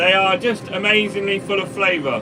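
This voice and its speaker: There is noticeable background noise while a man talks. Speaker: farmer and vlogger. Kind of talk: live stream chat reading comments. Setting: in a tractor cab while spraying. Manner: mumbling.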